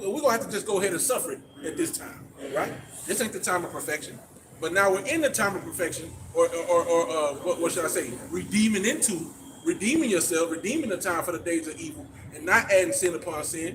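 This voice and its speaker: A man talks at a very fast pace in a high voice with very wide pitch swings. Noticeable background noise is present. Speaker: street preacher. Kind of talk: street preaching. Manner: stuttering.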